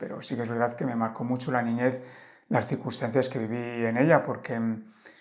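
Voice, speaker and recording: A man is talking. His voice is pitched in the middle range. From Spain, Valladolid. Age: 50s. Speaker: life coach and traveler. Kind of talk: casual interview conversation. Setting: in-person podcast conversation. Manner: hesitant, many fillers.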